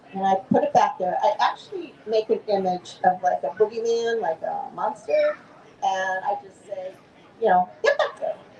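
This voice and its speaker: A woman's voice at a moderate pace, with big swings in loudness and noticeable background noise. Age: 70s. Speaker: author. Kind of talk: author talk at book fair booth.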